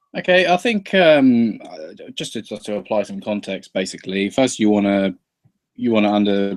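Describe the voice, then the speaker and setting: A man with a southern English accent speaks at a moderate pace and a fairly low pitch in a very clean recording with a silent background. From England. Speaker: YouTuber guest in political discussion. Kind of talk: casual debate.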